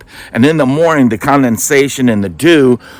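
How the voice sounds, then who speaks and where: A man with an American accent has a plain, everyday voice at a medium pitch. He talks at a moderate pace, and the sound is dry and close with no echo. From US Midwest, Milwaukee, Wisconsin. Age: 60s. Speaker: retiree applying for a reality show. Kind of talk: casting video storytelling.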